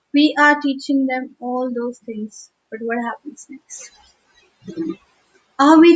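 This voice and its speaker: At a very slow pace, a woman with an Indian accent speaks in a high pitch with fairly even intonation. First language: Hindi. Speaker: teacher. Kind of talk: livestream talk.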